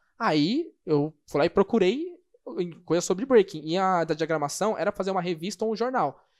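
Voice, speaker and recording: Against a quiet background, a man with a high pitch and ordinary pitch variation talks at a moderate pace. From São Paulo, Brazil. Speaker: breaking photo and video producer. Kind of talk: casual interview.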